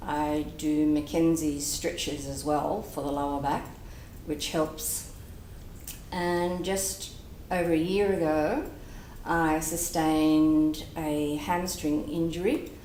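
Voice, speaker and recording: A woman talks very slowly in a very deep, low voice with fairly even intonation. Noticeable background noise and audible room echo are present. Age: 60s. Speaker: patient. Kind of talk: testimony.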